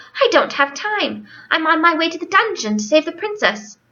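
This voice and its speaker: In a put-on character voice, a woman sounds squeaky and extremely high-pitched, going at a moderate pace. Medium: read story. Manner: earnest, sincere.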